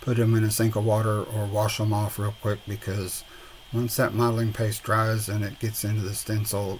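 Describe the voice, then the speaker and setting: A relaxed man with a South Texas accent, medium pitch and a moderate pace. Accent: Southern Texas. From Southern Texas. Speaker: resin and mixed media crafter. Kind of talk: voiceover tutorial. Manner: relaxed, hesitant with fillers.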